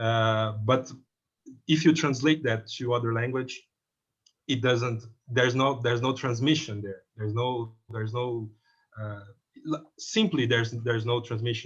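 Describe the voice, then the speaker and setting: With a Portuguese accent, a man speaks at a moderate pace and medium pitch, somewhat breathy, with fairly even intonation and long, frequent pauses against a quiet background. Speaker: film critic. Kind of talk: panel discussion. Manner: halting, many repetitions and fillers.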